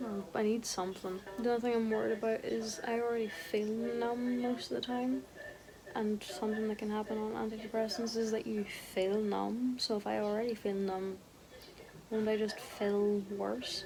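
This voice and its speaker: A woman speaks quietly in a fairly high pitch with fairly even intonation, over noticeable background noise. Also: moderate pace. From Ireland. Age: 20s. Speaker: content creator. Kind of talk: casual vlog talk. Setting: in bed at home.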